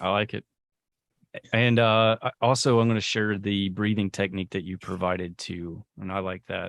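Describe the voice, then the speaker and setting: A man with a normal speaking voice and fairly low pitch talks at a moderate pace with fairly even intonation. The very clean recording has a silent background and a dry, close sound with no echo. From US South. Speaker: podcast host. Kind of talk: interview.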